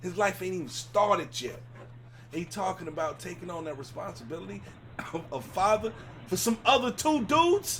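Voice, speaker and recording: An animated tone with very wide pitch swings, big swings in loudness and a fairly quick pace over noticeable background noise. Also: man, high pitch for a man. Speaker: talk show host. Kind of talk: casual chat.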